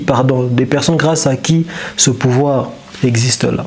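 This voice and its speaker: A man with a non-native accent, speaking at a very slow pace over noticeable background noise. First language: not French (speaking French). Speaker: commentator on history and power. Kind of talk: monologue commentary. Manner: halting, with repetitions.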